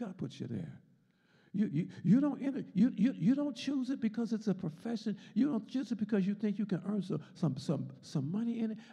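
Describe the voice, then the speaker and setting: Against a quiet background, a man talks at a fairly quick pace. His pitch is high and his tone dark and mellow. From US. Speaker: Sunday school teacher, deacon. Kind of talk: Bible lesson and sermon, with prayer. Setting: church, streamed video with congregation. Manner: rhythmic, repetitive, call-and-response preaching, fervent and rising in intensity; repeats words and phrases, stop-start, emphatic. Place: church. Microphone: handheld.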